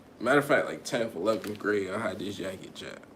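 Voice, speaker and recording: A man's voice with audible room echo. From Connecticut, US. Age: 20s. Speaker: podcaster / live streamer. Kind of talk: casual live stream chat. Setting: live stream. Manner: casual, rambling.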